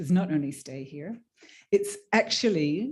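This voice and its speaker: An Australian-accented woman's fairly low voice at a fairly slow pace, with a quiet background. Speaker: panel moderator, trade union worker. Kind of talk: panel discussion moderation. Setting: conference room with audience.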